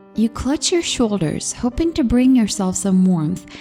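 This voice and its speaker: Over music in the background, a woman speaks at a moderate pace with a fairly high pitch and very wide pitch swings. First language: not English. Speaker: horror story narrator. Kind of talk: horror story reading.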